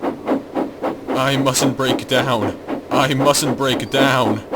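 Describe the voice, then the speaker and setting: A man performs a put-on character voice at medium pitch, and it sounds raspy. He speaks at a very slow pace. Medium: dub. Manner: anxious, pleading.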